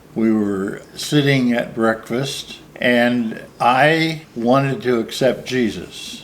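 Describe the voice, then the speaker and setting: In a Midwestern American accent, a man speaks at a very slow pace with hardly any pauses. His medium pitch shows ordinary variation, and his loudness stays very even. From US Midwest, Ohio. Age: 70s. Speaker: minister. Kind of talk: casual interview.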